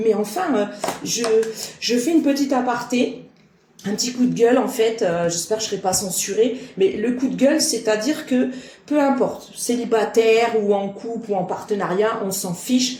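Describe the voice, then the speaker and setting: Against noticeable background noise and audible room echo, a woman with a fairly high voice speaks at a moderate pace with ordinary pitch variation. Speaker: medium and card reader. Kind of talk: spiritual guidance monologue. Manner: sharp, clipped.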